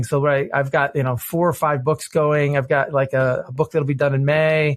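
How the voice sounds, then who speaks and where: An animated, somewhat breathy man with a Midwestern American accent, a fairly high pitch and a fairly quick pace, on a very clean recording with a silent background. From US Midwest, Detroit, Michigan. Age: 50s. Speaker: innovation consultant and author. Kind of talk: podcast interview. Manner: animated, repeats words often.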